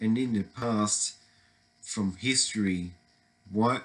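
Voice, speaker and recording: A man with an Australian accent at a very slow pace, with fairly even intonation. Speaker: political commentary vlogger. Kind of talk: opinion monologue. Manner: halting.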